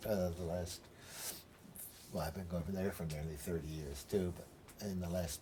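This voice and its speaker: Speaking at a moderate pace, a man with an American accent has a very deep, low pitch and a dark, mellow, somewhat breathy tone. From United States. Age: 70s. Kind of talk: documentary interview answer.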